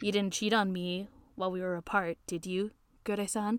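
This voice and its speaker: Using a put-on character voice, a woman speaks at a medium pitch and moderate pace with monotone, flat intonation. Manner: flamboyant, teasing.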